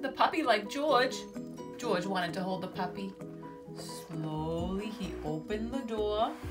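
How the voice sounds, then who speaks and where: A woman's fairly slow speech with music in the background. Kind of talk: children's book read-aloud.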